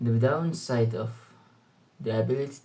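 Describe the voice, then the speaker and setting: In audible room echo, a man talks at medium pitch and a fairly slow pace. His tone is dark, mellow and somewhat breathy. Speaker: student vlogger. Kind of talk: casual monologue vlog. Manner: halting, many fillers.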